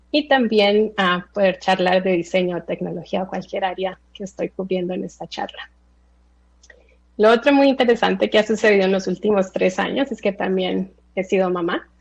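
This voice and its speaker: A woman with an American accent speaks at a medium pitch. Her pace is moderate and her pitch variation ordinary. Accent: Spanish shaped by US upbringing. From Colombia (Bogotá) then South Florida from age 8. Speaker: tech designer and speaker. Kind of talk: presentation talk. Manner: hesitant, frequent fillers.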